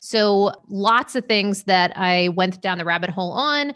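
A woman with an American accent, a normal speaking voice, medium pitch and ordinary pitch variation. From Maine, US. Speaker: sleep educator. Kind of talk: interview.

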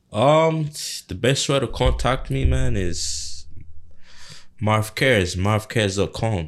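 Speaking very slowly with long, frequent pauses, a man uses a fairly low pitch with vocal fry and very wide pitch swings. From Uganda. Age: 30s. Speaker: home care business owner. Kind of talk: casual interview.

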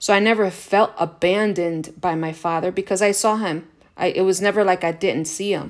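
At a fairly quick pace and with fairly even intonation comes an unremarkable speaking voice. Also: woman, medium pitch for a woman, very clean recording, silent background. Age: 50s. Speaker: podcast host, self-help speaker. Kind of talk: solo self-help talk. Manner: casual, conversational with many fillers.

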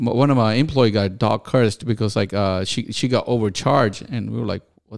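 A man's fairly low voice at a fairly quick pace, with fairly even intonation and vocal fry. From Pakistan. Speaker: convenience store owner. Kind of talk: casual chat.

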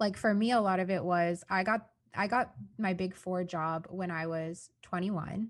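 Here is a woman with a plain, everyday voice and a medium pitch. Her pitch varies in an ordinary way over a quiet background. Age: 20s. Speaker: software consultant and work vlogger. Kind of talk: casual interview chat. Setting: podcast recording with a mic.

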